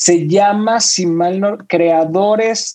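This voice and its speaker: The speaker is a man with a high voice. He talks at a very slow pace. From Venezuela (Caracas). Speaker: music industry executive. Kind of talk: interview.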